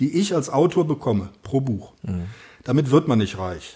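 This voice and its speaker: With a dark, mellow tone and some vocal fry, a man talks at a moderate pace and medium pitch. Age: 50s. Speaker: author and amateur runner. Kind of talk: casual interview.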